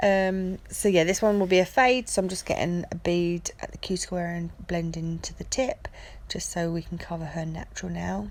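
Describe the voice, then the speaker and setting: Amid noticeable background noise, a woman talks at a moderate pace with big swings in loudness. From England, Essex. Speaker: nail technician. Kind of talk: tutorial.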